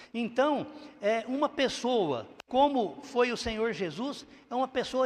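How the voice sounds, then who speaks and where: In a mineiro accent, a man with an extremely high pitch talks at a fairly slow pace with ordinary pitch variation. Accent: mineiro-like Brazilian Portuguese. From Brazil, interior of São Paulo state. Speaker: pastor. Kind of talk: sermon. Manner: halting, with frequent fillers.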